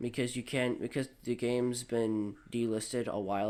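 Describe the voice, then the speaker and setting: A man's dark, mellow tone, with fairly even intonation and a moderate pace. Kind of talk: software tutorial narration. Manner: casual, hesitant.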